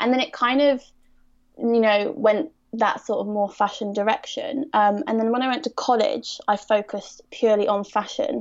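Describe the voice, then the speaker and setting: Speaking with a southern English accent, a woman uses a fairly high pitch, ordinary pitch variation and a moderate pace. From Surrey, southern England. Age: 20s. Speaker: fashion photographer. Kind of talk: podcast interview.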